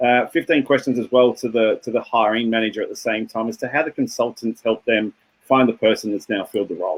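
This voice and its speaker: Speaking very fast with an Australian accent, a man holds a medium pitch and fairly even intonation. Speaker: tech company founder. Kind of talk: interview.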